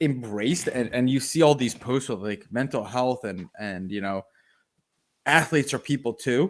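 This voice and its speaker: On a very clean recording with a silent background, a man talks at a moderate pace in an animated tone. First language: not English. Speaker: sports podcast co-host. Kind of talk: casual chat.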